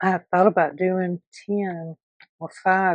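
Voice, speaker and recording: Soft-spoken, a woman talks at medium pitch in a monotone, flat intonation. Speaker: junk journal crafter. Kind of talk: tutorial.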